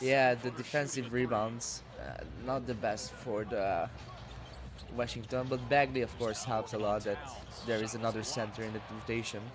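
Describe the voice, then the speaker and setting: There is audible room echo around this man, who talks at a moderate pace. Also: medium pitch for a man, fairly even intonation. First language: non-English European language. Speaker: sports YouTuber. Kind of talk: game reaction commentary. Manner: halting, many fillers.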